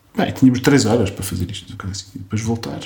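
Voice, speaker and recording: Noticeable background noise sits behind a man speaking in a medium pitch. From Portugal, Coimbra. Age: 40s. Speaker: film director and architect. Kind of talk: interview. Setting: at home in a Lisbon flat. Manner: halting, with repetitions.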